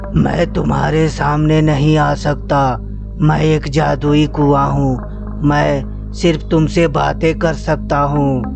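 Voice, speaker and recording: A man's cartoonish character voice, very slow, over loud background music. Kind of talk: children's bedtime cartoon story. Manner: slow, solemn, reassuring.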